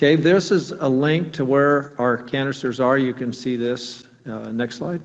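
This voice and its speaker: A man with an ordinary speaking voice talks in a medium pitch. His pace is fairly slow, with hardly any pauses. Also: ordinary pitch variation. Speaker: nuclear plant engineer presenting inspection findings. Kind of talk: technical presentation at public meeting.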